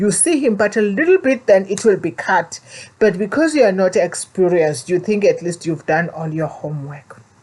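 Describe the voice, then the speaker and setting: With a South African accent, a woman speaks at medium pitch and a moderate pace. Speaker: vlogger. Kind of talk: personal storytelling. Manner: halting.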